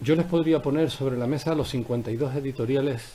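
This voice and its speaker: A man is speaking. His delivery is very fast, and his intonation is fairly even. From Canary Islands, Tenerife (La Laguna). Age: 60s. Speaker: politician. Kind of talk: press conference statement. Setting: press conference room. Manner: formal.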